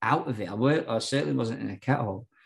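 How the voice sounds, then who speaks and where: Against a quiet background, a man with a South Yorkshire accent speaks at medium pitch with lively intonation. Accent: South Yorkshire (Barnsley). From London and South Yorkshire (Hackney, then Barnsley). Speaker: recovering addict sharing his story. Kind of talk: personal testimony in an interview.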